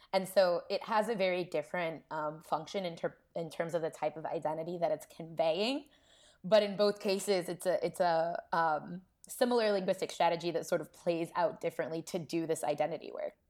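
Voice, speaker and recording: A woman with an American accent speaks at a fairly quick pace in a plain, everyday voice. Her pitch is fairly low, with ordinary variation. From Columbus, Ohio. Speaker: linguistics postdoc. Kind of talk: casual interview.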